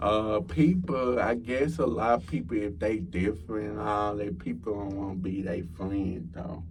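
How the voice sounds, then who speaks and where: A man's fairly low, somewhat breathy voice with a Texan accent and audible room echo. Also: ordinary pitch variation, moderate pace, hardly any pauses. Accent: Texas country. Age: 20s. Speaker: podcast guest, college student. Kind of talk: casual chat.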